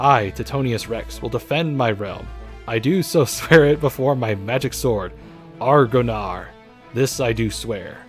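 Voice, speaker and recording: Putting on a character voice, a man speaks with a rumbling, medium-pitched sound at a moderate pace while clear music plays in the background. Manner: grand, oath-swearing, pompous.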